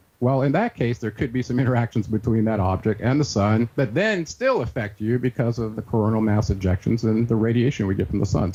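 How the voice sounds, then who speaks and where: The voice is somewhat breathy with a dark, mellow tone, delivered at a fairly quick pace. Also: man. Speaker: researcher and author. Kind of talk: interview. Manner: fast.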